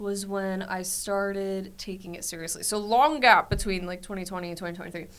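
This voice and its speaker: Speech moves at a fairly quick pace with hardly any pauses and fairly even intonation. Loudness swings widely, and room echo is audible. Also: woman, medium pitch for a woman. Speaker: social media influencer. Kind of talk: casual chat. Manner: fast.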